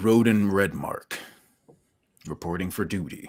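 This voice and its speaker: A man puts on a gravelly character voice at a fairly low pitch. He keeps a moderate pace with ordinary pitch variation. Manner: formal, crisp.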